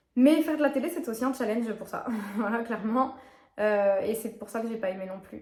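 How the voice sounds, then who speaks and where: Noticeable background noise and audible room echo surround speech at a fairly quick pace with ordinary pitch variation. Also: woman. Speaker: YouTuber, lifestyle and fitness vlogger. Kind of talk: casual vlog monologue. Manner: fast; animated.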